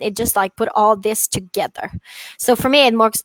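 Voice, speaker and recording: With a French accent, a woman speaks at a fairly high pitch and a fairly quick pace, using ordinary pitch variation. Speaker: dog trainer. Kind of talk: casual chat. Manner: halting.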